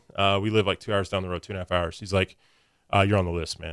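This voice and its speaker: A man with a Midwestern American accent talks at a very fast pace. The recording is very clean, with a silent background. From US Midwest, Springfield, Missouri. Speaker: firefighter. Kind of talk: casual chat.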